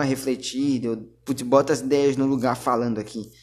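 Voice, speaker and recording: A man speaks at a moderate pace. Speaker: podcaster. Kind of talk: casual monologue.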